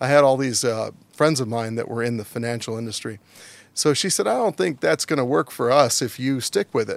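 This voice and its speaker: An ordinary speaking voice with an American accent moves at a fairly quick pace and ordinary pitch variation, recorded very cleanly against a silent background with a dry, close sound and no echo. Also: man, medium pitch for a man. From Virginia, US. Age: 50s. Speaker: former diplomat and business council president. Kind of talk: interview.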